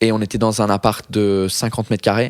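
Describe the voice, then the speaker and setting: A man talks at a moderate pace and a medium pitch. The sound is dry and close, with no echo. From Britain / Ireland. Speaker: stand-up comedian. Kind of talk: podcast interview answer.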